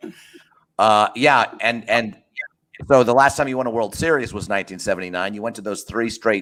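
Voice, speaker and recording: An ordinary speaking voice from a man at a medium pitch, with ordinary pitch variation, big swings in loudness and a fairly quick pace. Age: 50s. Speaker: podcast host. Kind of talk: casual chat.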